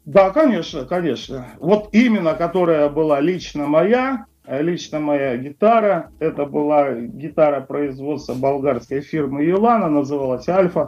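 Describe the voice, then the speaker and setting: A man with an ordinary speaking voice, fairly high in pitch, at a fairly slow pace with lively intonation. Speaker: rock guitarist. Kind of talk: interview. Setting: Skype call. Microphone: Skype line, connection drops.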